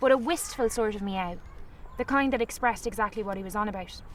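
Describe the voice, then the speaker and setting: A speaker with a Galway accent talks at a very fast pace. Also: woman. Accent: Galway Irish. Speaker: author. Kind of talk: storytelling.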